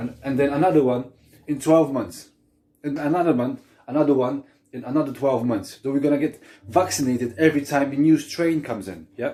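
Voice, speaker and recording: A man with a non-native accent, a dark, mellow tone, fairly high pitch and a fairly quick pace. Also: ordinary pitch variation. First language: not English. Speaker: vlogger. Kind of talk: opinion rant to camera. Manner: animated.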